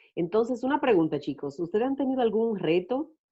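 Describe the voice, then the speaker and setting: With very wide pitch swings, a woman speaks at a fairly quick pace. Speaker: YouTuber and discussion moderator. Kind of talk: panel discussion moderation.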